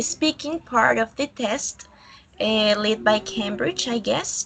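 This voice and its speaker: Speaking with a Colombian accent at a fairly slow pace, a woman uses a fairly high pitch and lively intonation over noticeable background noise. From Colombia, Villavicencio. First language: Spanish. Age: 20s. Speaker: student. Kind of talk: online English class. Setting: video call. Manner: halting.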